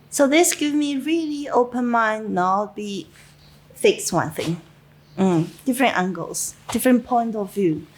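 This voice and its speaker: A woman with a Chinese accent and a fairly high pitch speaks at a fairly slow pace, her pitch swinging very widely. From China. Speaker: winemaker. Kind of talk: interview. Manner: halting, many fillers.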